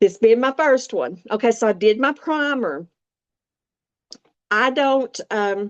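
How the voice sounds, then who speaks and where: A woman's fairly high voice in a Southern US accent, very slow, with long, frequent pauses, lively intonation and a dry, close sound with no echo. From US South, Appalachia. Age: 60s. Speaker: makeup demonstrator. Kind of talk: tutorial. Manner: hesitant, filler words.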